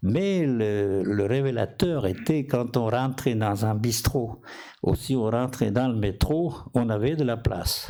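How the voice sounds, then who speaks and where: A man with a non-native accent, dark, mellow tone and medium pitch, at a very slow pace. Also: ordinary pitch variation. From outside France. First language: not French (speaking French). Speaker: physician and inventor. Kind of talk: conference talk. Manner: halting.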